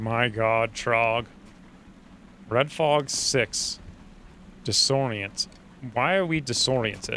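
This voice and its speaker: Speaking very slowly with long, frequent pauses, a man with a Boston accent talks at a medium pitch. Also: ordinary pitch variation, very even loudness. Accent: Boston accent, slipping in more lately. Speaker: video game streamer. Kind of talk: live gameplay commentary. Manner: animated.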